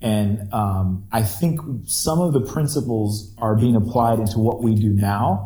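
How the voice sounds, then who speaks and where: A somewhat breathy, dark and mellow voice with an American accent, ordinary pitch variation, and a fairly slow pace. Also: man, fairly low pitch for a man. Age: 30s. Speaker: podcast host, former band singer. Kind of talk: casual chat. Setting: remote call.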